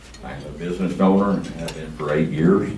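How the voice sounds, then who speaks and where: A man with a West Texas accent talks at a moderate pace amid noticeable background noise and audible room echo. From Texas, San Angelo. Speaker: police chief candidate. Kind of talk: campaign speech. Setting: luncheon forum with audience. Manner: loud.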